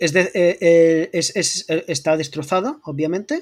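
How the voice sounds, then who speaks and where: A man's fairly high-pitched voice comes through on a very clean recording against a silent background. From Murcia, Spain. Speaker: art historian and YouTube lore creator. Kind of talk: casual chat.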